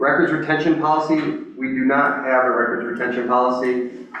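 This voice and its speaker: There is audible room echo around a man's voice. Noticeable background noise is present too. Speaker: land bank director presenting to board. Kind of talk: board meeting report. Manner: fast.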